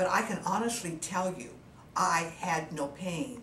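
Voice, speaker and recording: There is audible room echo and noticeable background noise. A woman speaks at a very slow pace with lively intonation. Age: 70s. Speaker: cosmetic surgery patient. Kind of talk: testimony. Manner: halting, frequent fillers.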